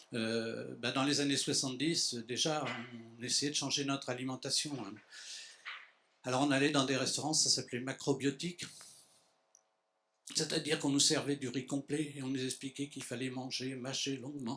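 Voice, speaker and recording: A man speaks in a bright, sharp tone at medium pitch and a moderate pace. His intonation is monotone and flat, with long, frequent pauses. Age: 70s. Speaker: association founder, conference speaker. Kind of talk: lecture. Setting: conference hall with audience. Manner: halting.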